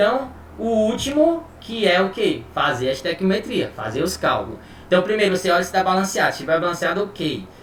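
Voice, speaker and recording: Over noticeable background noise and audible room echo, a man talks at a fairly quick pace in a high pitch. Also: lively intonation. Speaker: chemistry teacher. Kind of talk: online lecture. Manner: casual, informal.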